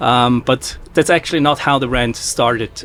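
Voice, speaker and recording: A man with a Swiss accent, medium pitch and a fairly quick pace, amid noticeable background noise. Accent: European accent, Swiss. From Switzerland. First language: not English (Swiss; Portuguese/German roots). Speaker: drink brand founder, former pharmacist. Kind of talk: interview. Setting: trade show podcast booth. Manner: halting, many fillers.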